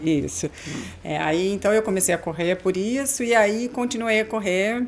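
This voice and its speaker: At a moderate pace, a woman with a medium pitch and ordinary pitch variation talks in a plain, everyday voice. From Americana, São Paulo state, Brazil. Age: 40s. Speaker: amateur marathon runner. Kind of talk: podcast interview.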